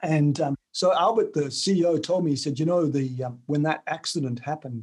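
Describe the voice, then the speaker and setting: With an Australian accent, a man speaks at a fairly high pitch. His pace is moderate. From Tasmania, Australia. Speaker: author and sales trainer. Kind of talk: interview.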